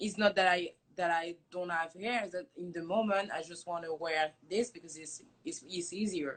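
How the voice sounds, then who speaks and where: In a French accent, a woman with a fairly low pitch speaks at a moderate pace, her intonation fairly even but her loudness swinging widely. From France. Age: 20s. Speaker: hair company founder. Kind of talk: casual chat. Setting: Instagram live stream.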